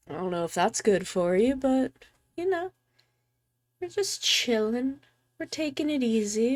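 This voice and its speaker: The voice has a relaxed tone and very wide pitch swings, moving at a very slow pace. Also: woman. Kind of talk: casual live stream chat. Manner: relaxed, soft.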